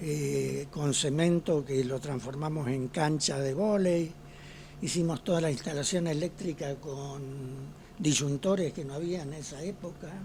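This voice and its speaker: Over noticeable background noise, a man speaks at a very slow pace with a fairly high pitch and fairly even intonation. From Argentina, Ceres (Santa Fe). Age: 80s+. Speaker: retired pediatrician. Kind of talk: interview.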